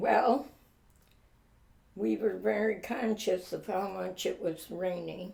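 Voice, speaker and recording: A woman's voice at a medium pitch with vocal fry and a dark, mellow tone, ordinary pitch variation and a very slow pace. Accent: American. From upstate New York, Elmira. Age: 80s+. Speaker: flood survivor interviewee. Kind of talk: oral history interview. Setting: at her home. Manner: halting.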